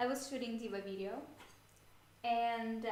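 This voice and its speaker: Audible room echo surrounds a woman whose fairly high voice moves with fairly even intonation. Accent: Russian. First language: Russian. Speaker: cosplayer streamer. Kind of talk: livestream chat. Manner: halting.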